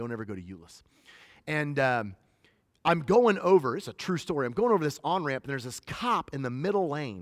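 In a very clean recording with a silent background, a man talks at a fairly quick pace with fairly high pitch, an animated tone, very wide pitch swings and big swings in loudness. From northern US. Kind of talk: sermon. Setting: stage with audience.

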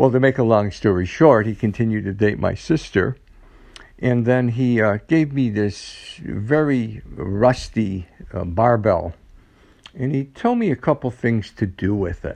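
A man with an ordinary speaking voice and an American accent speaks at a medium pitch and fairly slow pace, with ordinary pitch variation. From upstate New York (Utica). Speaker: fitness professional. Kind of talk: personal storytelling monologue.

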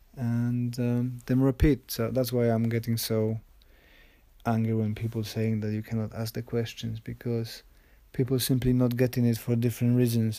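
A man speaks at a moderate pace in a medium pitch, his tone dark and mellow with flat, monotone intonation. The recording is very clean, the background silent. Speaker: podcast host. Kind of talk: solo monologue. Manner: many fillers and hesitations.

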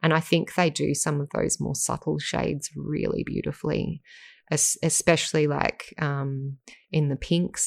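A woman with an Australian accent talks at a moderate pace in a very deep, low pitch. The sound is dry and close with no echo, on a very clean recording with a silent background. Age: 40s. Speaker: professional artist and podcast host. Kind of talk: casual interview chat.

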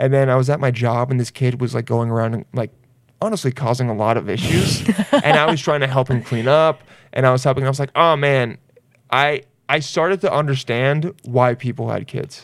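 A man's medium-pitched, unremarkable speaking voice, fairly quick in pace with ordinary pitch variation. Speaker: podcast host, comedian.

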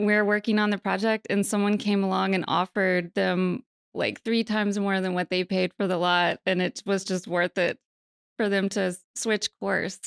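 In a very clean recording with a silent background and a dry, close sound with no echo, a woman with a plain, everyday voice and an American accent talks at a moderate pace, medium in pitch, with ordinary pitch variation and very even loudness. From mountains of western North Carolina. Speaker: architect. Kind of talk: interview.

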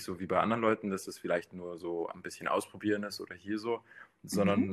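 A man talks in a normal speaking voice, fairly low in pitch, with fairly even intonation. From Bavaria. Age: 20s. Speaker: dating show guest. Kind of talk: casual chat.

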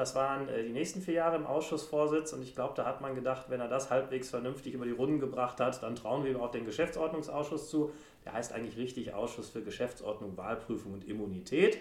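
Against noticeable background noise, a man races along at a very fast pace with hardly any pauses and ordinary pitch variation. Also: medium pitch for a man. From Germany, Sauerland (Brilon). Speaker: member of parliament, former law professor. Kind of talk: casual interview. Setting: parliament building office.

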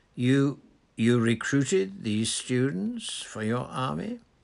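With vocal fry and big pitch swings, a put-on character voice moves at a slow pace in a slightly mellow tone. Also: man, medium pitch for a man.

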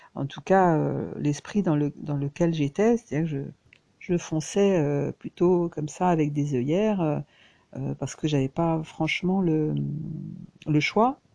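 A woman with a very deep, low pitch and a dark, mellow tone speaks very slowly with ordinary pitch variation. The sound is dry and close with no echo. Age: 60s. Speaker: crafts vlogger. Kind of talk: personal reflection monologue. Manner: halting, many hesitations and repetitions.

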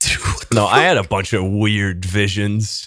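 The background is silent and the recording very clean. A male voice is speaking. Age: 20s. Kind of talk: casual chat. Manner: animated.

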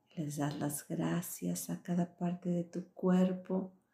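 A woman speaks at a very slow pace in a soothing, gentle tone that is dark and mellow, somewhat breathy, with a fairly low pitch. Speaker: meditation guide and coach. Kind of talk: guided meditation. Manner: slow, soothing, gentle, calm; warm, encouraging, intimate.

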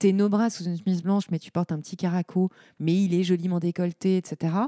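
In a very clean, dry, close recording with no echo and a silent background, a woman speaks at a moderate pace in a fairly low, dark, mellow tone. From Lorraine, France. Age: 40s. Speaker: entrepreneur and former fashion executive. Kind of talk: casual interview chat.

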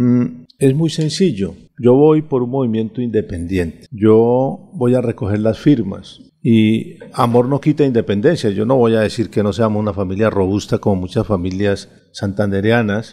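With a dark, mellow tone and medium pitch, a man speaks at a moderate pace using ordinary pitch variation. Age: 50s. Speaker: retired army general and political candidate. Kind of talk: radio interview. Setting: radio studio.

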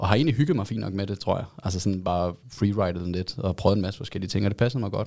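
A man talks at a very fast pace with hardly any pauses. His pitch is fairly low, with ordinary pitch variation. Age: 30s. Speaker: advertising agency co-founder. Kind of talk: casual interview.

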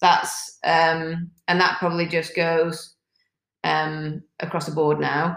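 Speaking very slowly in a British accent, a woman keeps a fairly low pitch and a monotone, flat intonation. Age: 40s. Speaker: fitness coach and former police officer. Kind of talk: casual chat.

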